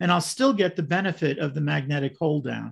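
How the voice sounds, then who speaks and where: Somewhat breathy, a man with an American accent speaks at a fairly high pitch with ordinary pitch variation against a quiet background. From US Northeast, Brooklyn; New York. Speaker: model railroad clinic presenter; presenter. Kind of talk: presentation. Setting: video call. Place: home room. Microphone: video call.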